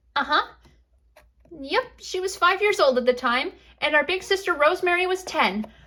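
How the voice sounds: A woman's put-on character voice at an extremely high pitch, bright and sharp in tone, with lively intonation at a moderate pace.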